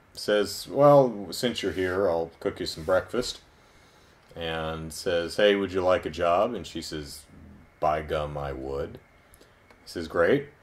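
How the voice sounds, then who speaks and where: A man with a very deep, low voice speaks at a fairly slow pace, leaving long, frequent pauses. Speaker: video reviewer. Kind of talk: review commentary. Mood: wry, amused retelling. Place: home room. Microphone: camera far.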